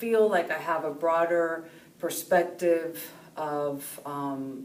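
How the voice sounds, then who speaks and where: A woman with a fairly low pitch speaks at a very slow pace. Room echo is audible. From California, Mexican-American. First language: Spanish. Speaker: professor. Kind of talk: personal interview monologue. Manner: hesitant, many fillers.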